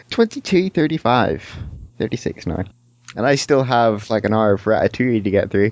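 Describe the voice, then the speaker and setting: A man's plain, everyday voice at a medium pitch, fairly quick in pace, with lively intonation. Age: young. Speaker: podcast host. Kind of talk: casual chat. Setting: online voice call.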